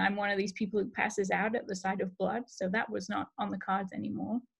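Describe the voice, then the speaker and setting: A woman with vocal fry at a fairly quick pace, in a very clean recording with a silent background. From England (Cheshire). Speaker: cancer researcher and professor. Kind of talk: guest talk. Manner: hesitant, many fillers.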